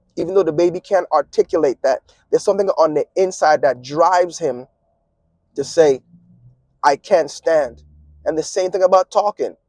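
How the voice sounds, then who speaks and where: A man with a Virgin Islands accent and high pitch, ordinary pitch variation, a moderate pace, long, frequent pauses and a dry, close sound with no echo. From US Virgin Islands, Saint Thomas. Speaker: vlogger and musician. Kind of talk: casual vlog monologue. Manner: eats his words, mumbly.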